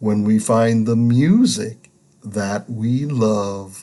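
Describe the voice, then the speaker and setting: A put-on character voice sits low in pitch. It moves at a very slow pace. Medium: read story.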